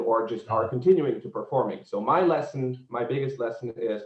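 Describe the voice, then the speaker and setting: A man talks at medium pitch. He speaks with a Czech accent. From Czechia, Prague. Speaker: tour guide. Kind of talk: online seminar presentation. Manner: halting.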